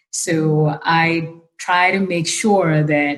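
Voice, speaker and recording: Music plays in the background as a woman with a non-native accent speaks. Her voice is very deep and low, with monotone, flat intonation. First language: not English. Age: young. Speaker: leadership program director. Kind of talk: panel discussion.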